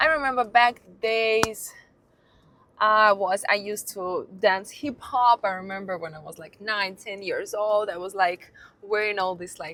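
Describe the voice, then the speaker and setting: A woman's medium-pitched voice with a Russian accent, fairly slow pace, ordinary pitch variation and big swings in loudness. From Russia, near Saint Petersburg. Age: 30s. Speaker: lifestyle vlogger. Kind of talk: casual monologue. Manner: halting.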